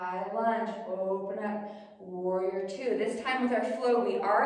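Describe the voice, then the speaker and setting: A woman speaks at a very slow pace with fairly even intonation, and strong room echo surrounds her voice. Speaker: yoga instructor. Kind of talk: guided yoga class, calm cueing of poses and breath. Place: home room. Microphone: camera far.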